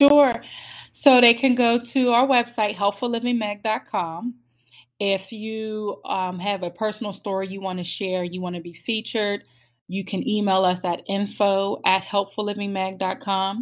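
Against a quiet background, a woman with an American accent has a plain, everyday voice at medium pitch with ordinary pitch variation. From Pittsburgh, Pennsylvania. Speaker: mental health magazine founder. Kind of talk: interview.

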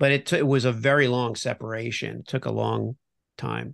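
A man with a plain, everyday voice speaks at a moderate pace and medium pitch with fairly even intonation. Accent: American. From Florida, US. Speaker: brand voice consultant and comedian. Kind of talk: casual interview.

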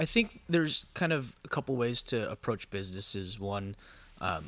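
Heard in a very clean recording with a silent background, a man with an American accent speaks at a moderate pace with lively intonation and a bright, sharp tone. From Southern California (Orange County). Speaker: singer-songwriter and producer. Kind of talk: casual interview. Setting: studio.

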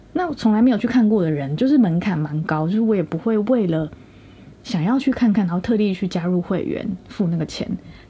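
Somewhat breathy and dark, mellow in tone, a woman's medium-pitched voice moves at a fairly quick pace with lively intonation. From Taiwan. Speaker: podcast co-host, student in Japan. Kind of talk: casual chat.

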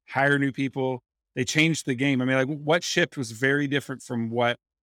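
A plain, everyday voice belongs to a man speaking at medium pitch and a fairly quick pace. The sound is dry and close with no echo, on a very clean recording with a silent background. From North Carolina, US South. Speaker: game designer. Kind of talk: casual interview. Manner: casual, filler-heavy.

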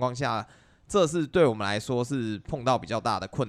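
At a moderate pace, a man with an unremarkable speaking voice talks at a medium pitch with lively intonation on a very clean recording with a silent background. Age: middle-aged. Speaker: video game podcast co-host. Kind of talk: reading news aloud; casual chat.

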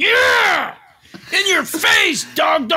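A man shouts in a put-on character voice. His pitch sits extremely high. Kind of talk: casual, slangy. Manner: shouting, triumphant.

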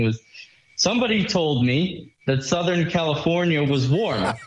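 A man speaks with lively intonation in a room with audible echo. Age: 20s. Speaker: listener and racing fan. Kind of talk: casual chat. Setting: phone call.

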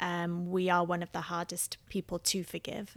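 A woman at a fairly slow pace with monotone, flat intonation, in a very clean recording with a silent background. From Wales, Vale of Glamorgan near Cardiff. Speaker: pastoral staff, prayer minister. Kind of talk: interview conversation on faith. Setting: home recording, kids outside.

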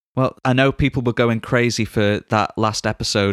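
A man speaks in a dry, close sound with no echo. The recording is very clean, with a silent background. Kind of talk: casual chat.

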